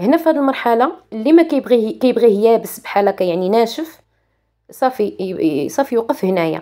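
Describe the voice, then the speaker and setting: A woman's fairly high voice with a Moroccan accent, dark and mellow in tone, swinging very widely in pitch at a fairly quick pace. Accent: Moroccan Arabic (Darija). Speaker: cooking channel host. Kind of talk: cooking tutorial. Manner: halting.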